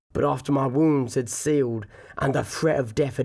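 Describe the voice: Reading aloud, plain.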